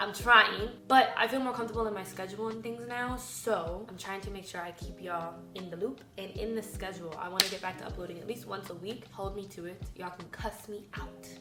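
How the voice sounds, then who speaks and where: Animated in tone, a woman speaks at a fairly quick pace with ordinary pitch variation, against noticeable background noise and audible room echo. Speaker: lifestyle YouTuber and fitness coach. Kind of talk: casual vlog talk.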